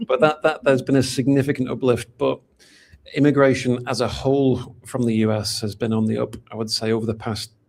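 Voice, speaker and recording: Delivered at a fairly quick pace in a Manchester accent, the speech has fairly even intonation. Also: man, medium pitch for a man. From northern England, Manchester. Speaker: golden visa specialist. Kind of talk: interview. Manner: halting, many fillers and repeats.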